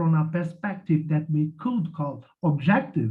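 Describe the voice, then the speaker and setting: Speaking fairly slowly, a man with a Portuguese accent uses a fairly high pitch. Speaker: academic commentator. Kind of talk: reading a prepared commentary. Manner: halting, with repeated words.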